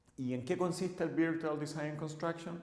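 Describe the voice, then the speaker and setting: Recorded with noticeable background noise and audible room echo, a man with a fairly high pitch is speaking. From Chile. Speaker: civil engineer and course instructor. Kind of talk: lecture. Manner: halting, frequent filler 'eh'.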